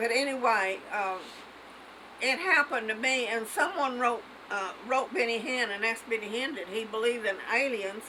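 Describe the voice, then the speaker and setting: There is audible room echo and noticeable background noise as a woman with a fairly high pitch and ordinary pitch variation talks at a moderate pace. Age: 80s+. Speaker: elderly mother telling a personal story. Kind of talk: casual family chat. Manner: halting.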